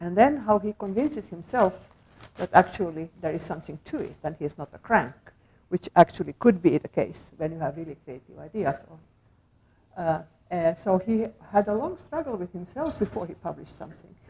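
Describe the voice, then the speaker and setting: At a fairly quick pace, a woman speaks in a somewhat breathy, fairly low voice. Her pitch swings very widely and her loudness shifts in big swings. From Finland. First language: Finnish. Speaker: sociologist of science, academic speaker. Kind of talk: lecture. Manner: halting, many fillers; soft-spoken.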